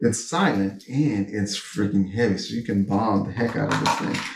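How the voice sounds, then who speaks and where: A man speaks at a moderate pace and medium pitch. The room echo is audible. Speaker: fishing vlogger. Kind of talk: casual gear show-and-tell. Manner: animated.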